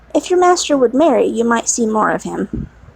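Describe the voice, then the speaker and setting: A woman speaks in a put-on character voice, fairly high in pitch, with very wide pitch swings and a fairly quick pace. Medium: read story. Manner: easy, pleasant.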